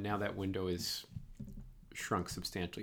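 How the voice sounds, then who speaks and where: A man with a Boston accent speaks at a moderate pace with fairly even intonation. The recording is very clean, with a silent background. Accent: Boston, non-rhotic. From Boston, Massachusetts. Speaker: podcast host. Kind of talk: casual interview.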